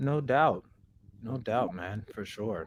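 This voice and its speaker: A man with lively intonation. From Kansas, grew up among Samoans. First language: not English. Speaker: podcast host. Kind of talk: casual interview chat.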